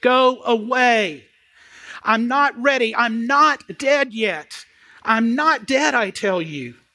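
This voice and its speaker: Doing a shrill put-on character voice, a man speaks extremely high and at a very slow pace. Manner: shrieking, terrified.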